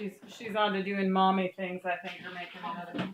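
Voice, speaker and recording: This woman has an ordinary speaking voice. She talks at medium pitch and a moderate pace. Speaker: soap making teacher. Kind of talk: tutorial. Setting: in a home kitchen.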